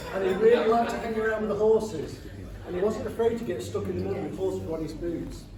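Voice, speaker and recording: With a Nottinghamshire accent, a man talks at a very fast pace in a high voice with ordinary pitch variation, noticeable background noise behind him. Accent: broad north Nottinghamshire. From north Nottinghamshire, England. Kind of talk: best man wedding speech. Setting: wedding reception hall. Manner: joking, humorous.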